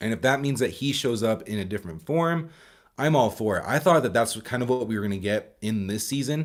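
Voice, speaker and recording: A man speaks at a medium pitch with lively intonation. His pace is fairly quick. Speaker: movie reviewer streamer. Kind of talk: live stream casual chat. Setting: live stream with chat. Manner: stumbling, repeats words.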